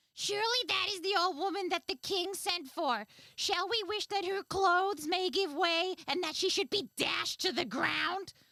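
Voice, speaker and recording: A female-sounding voice performs a put-on character voice at an extremely high pitch. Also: moderate pace. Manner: sly, scheming.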